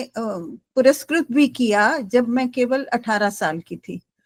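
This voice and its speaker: With a Gujarati accent, a woman speaks at a high pitch with ordinary pitch variation. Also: dry, close sound with no echo. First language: Gujarati (speaking Hindi). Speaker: writer, poet and translator. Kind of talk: panel discussion interview. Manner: hesitant with fillers.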